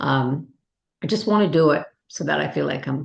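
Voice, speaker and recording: A woman's very deep, low voice with vocal fry and a Canadian accent. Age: 70s. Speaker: recovery group facilitator and author. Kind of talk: casual chat. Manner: fast; animated.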